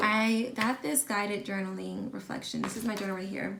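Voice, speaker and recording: A woman speaks at a medium pitch through noticeable background noise and audible room echo. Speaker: lifestyle vlogger. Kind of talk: casual vlog talk.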